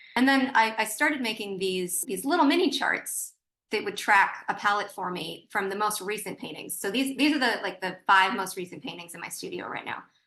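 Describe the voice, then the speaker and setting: A woman talks at a fairly quick pace with hardly any pauses. Her tone is bright and sharp, and her loudness swings widely. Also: medium pitch for a woman, lively intonation. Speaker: visiting artist, painter. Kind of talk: artist lecture. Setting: video call. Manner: fast; halting, many repetitions and fillers.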